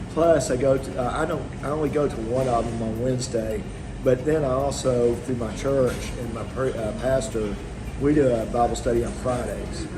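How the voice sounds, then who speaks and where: With noticeable background noise and audible room echo, a man with a Texan accent talks at a moderate pace and fairly even intonation. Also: medium pitch for a man. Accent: Texan American English. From Texas. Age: 60s. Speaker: expat retiree. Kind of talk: interview. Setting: outdoors on a beach. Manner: halting, many fillers and restarts.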